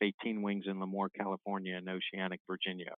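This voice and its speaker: A man with an American accent and a fairly low pitch speaks in a monotone, flat intonation. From Maryland/southern Pennsylvania, US. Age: 60s. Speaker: naval officer. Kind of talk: interview.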